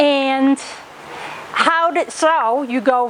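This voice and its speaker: A woman's lively intonation comes through over noticeable background noise. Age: 60s. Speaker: gym member. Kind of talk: testimony.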